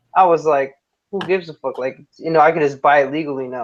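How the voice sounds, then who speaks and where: The man speaks at a fairly quick pace. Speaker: podcast guest. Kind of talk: casual chat.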